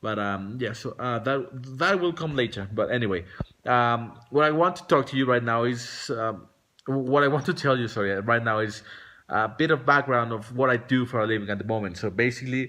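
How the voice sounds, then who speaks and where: Against a quiet background, a man with a Spanish accent talks at a fairly quick pace, his medium pitch showing ordinary variation and his tone bright and sharp. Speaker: vlogger. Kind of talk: casual vlog monologue. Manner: halting, many fillers and restarts.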